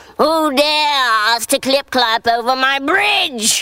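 A put-on character voice, bellowing at a high pitch and a very slow pace

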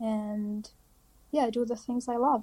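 A woman speaks in an Arabic accent with a fairly high pitch and a dark, mellow tone. Her intonation is monotone and flat. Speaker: dentistry student. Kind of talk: interview.

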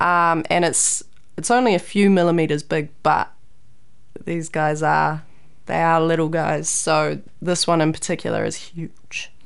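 A woman's fairly low voice in a New Zealand accent, fairly slow and fairly even in intonation, with audible room echo. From New Zealand, Raglan. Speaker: PhD student and scientist. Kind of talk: interview.

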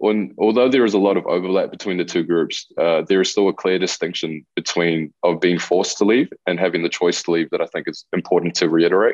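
Talking at a fairly quick pace with hardly any pauses, a man in a New Zealand accent has a very deep, low pitch and ordinary pitch variation. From Chile, raised in New Zealand. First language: Spanish. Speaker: youth mentor and cultural bridging facilitator. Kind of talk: radio interview. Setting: video call.

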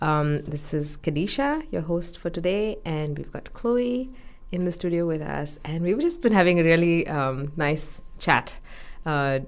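This woman speaks with an Indian accent. Her pitch varies an ordinary amount. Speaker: radio host. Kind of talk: casual radio interview. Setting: studio.

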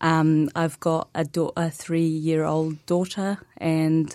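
On a very clean recording with a silent background, a woman with an Arabic accent speaks in a fairly low pitch and a dark, mellow tone. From Palestine, Hebron. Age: 20s. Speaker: activist spokesperson. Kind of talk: interview.

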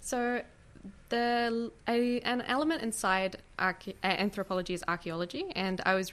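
A woman's voice in a New Zealand accent, with ordinary pitch variation. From New Zealand, grew up in Oamaru. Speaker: museum and gallery worker, K-pop fan. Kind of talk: radio interview.

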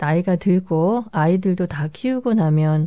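A woman speaks in an unremarkable speaking voice at a fairly low pitch. Her pace is fairly slow, with ordinary pitch variation. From South Korea. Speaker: radio DJ. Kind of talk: radio presenting. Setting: studio. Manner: calm.

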